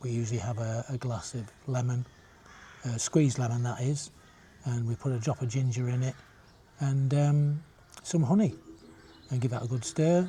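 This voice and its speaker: With a northern English accent, a man speaks at a medium pitch and a moderate pace. His tone is dark and mellow, and somewhat breathy. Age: 70s. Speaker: retirement vlogger. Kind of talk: casual vlog monologue. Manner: halting, many fillers.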